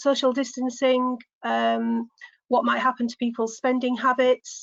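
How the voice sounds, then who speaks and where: Speaking at a moderate pace, a woman with a Yorkshire accent talks in a high voice. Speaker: business development manager. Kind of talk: business webinar presentation.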